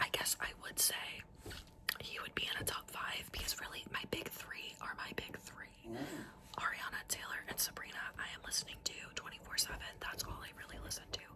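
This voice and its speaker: A woman whispers at a fairly quick pace. Background noise is noticeable. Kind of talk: casual whispered ramble to camera. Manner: whispered, soft, intimate.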